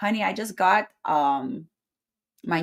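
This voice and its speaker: The voice moves at a very slow pace with very wide pitch swings on a very clean recording with a silent background. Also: woman. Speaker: spiritual podcast host. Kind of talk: casual live show chat. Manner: animated.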